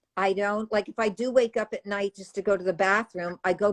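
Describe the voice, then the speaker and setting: A woman speaks at a fairly quick pace in a plain, everyday voice, medium in pitch with fairly even intonation, recorded with a dry, close sound and no echo. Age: 60s. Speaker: raw vegan author. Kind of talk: casual chat.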